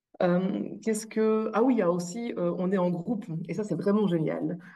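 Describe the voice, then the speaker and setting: With a slight Belgian accent, a woman talks at a moderate pace in a dark, mellow tone at medium pitch. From Belgium. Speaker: coaching client sharing testimony. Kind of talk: testimony interview. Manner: hesitant, many fillers.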